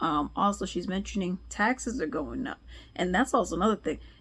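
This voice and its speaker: A woman talks at a moderate pace with a fairly low pitch and vocal fry. The recording is very clean with a silent background. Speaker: news commentator. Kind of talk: casual news commentary.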